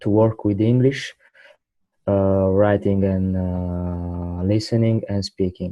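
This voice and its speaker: A man with an Italian accent talks at a very slow pace. His fairly low voice stays monotone and flat. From southern Italy, Trani. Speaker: English student, young professional. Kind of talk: interview. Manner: halting.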